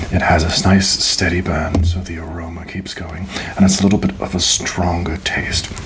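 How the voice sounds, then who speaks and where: Noticeable background noise is audible. A man whispers over it. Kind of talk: ASMR roleplay, cigar lounge attendant speaking to the listener. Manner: soft, slow, polite, hospitable.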